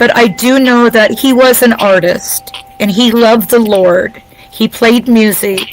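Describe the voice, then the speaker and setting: A woman at a fairly slow pace with ordinary pitch variation, music in the background. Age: 50s. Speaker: guest relative of a victim. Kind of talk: testimony.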